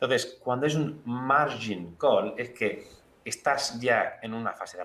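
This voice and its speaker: A man in an Andalusian accent talks at a fairly slow pace. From Andalusia, Spain. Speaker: financial analyst. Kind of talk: TV interview. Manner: clear.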